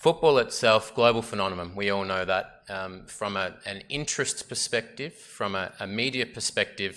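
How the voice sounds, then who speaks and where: A man with a strong Australian accent speaks at a moderate pace, his fairly low voice bright and sharp in tone with ordinary pitch variation. The recording is very clean with a silent background. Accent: Australian, very obvious. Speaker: sports lawyer presenting at a symposium. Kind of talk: conference presentation. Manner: hesitant, many fillers.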